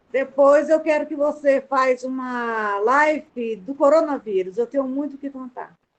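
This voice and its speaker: Delivery is fairly slow. The pitch shifts in an ordinary way. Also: woman, high pitch for a woman. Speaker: student caregiver. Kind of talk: testimony.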